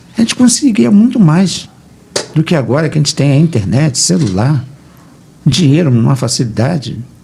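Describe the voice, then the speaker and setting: A fairly high-pitched man at a moderate pace, with very wide pitch swings, very even loudness, long and frequent pauses, and noticeable background noise. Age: 70s. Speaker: pastor. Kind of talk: radio debate. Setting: radio studio.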